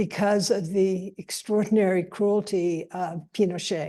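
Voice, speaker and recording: Against a quiet background, a woman of medium pitch speaks at a fairly slow pace in a dark, mellow tone with fairly even intonation. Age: 80s+. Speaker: panelist at a scholarly symposium. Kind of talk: panel discussion. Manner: halting, many fillers and restarts.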